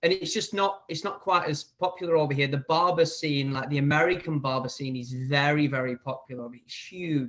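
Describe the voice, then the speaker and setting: A man with an English accent, fairly high-pitched, at a moderate pace. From northern England, near Manchester, Preston and Bolton. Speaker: barber and hair educator. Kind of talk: casual interview chat.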